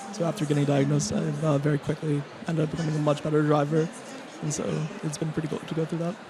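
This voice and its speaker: A man with an American accent, fairly high-pitched and monotone with flat intonation, at a very fast pace, with noticeable background noise and audible room echo. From half American, lives in Belfast. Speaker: software engineer. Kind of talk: panel discussion. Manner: hesitant, many 'uh' fillers.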